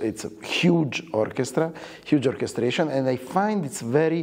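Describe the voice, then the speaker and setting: A man with an Italian accent speaks at a fairly slow pace with lively intonation over noticeable background noise. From Italy. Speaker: orchestra conductor. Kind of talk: interview. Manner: halting, many fillers.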